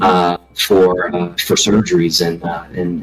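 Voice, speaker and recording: Over background music, a man with a strong Southern US accent speaks in a very deep, low voice. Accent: thick Southern US. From US South, Alabama. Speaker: video game community leader, anesthesia worker. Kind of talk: casual interview chat. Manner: halting, many fillers.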